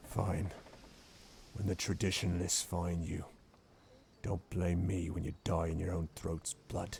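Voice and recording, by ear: Putting on a growling character voice, a man speaks very deep and low in a monotone, flat way at a fairly slow pace with long, frequent pauses.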